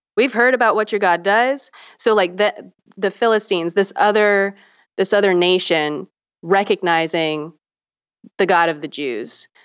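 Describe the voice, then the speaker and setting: This woman talks at a moderate pace with a medium pitch and an American accent. Her speech has long, frequent pauses. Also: ordinary pitch variation. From US South, South Carolina. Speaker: teacher and religious studies graduate. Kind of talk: casual chat.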